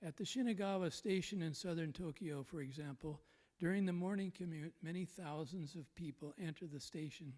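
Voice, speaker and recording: Fairly quick speech from a man, high in pitch, with ordinary pitch variation. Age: 80s+. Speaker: conference speaker presenting a paper. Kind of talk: conference presentation. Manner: formal.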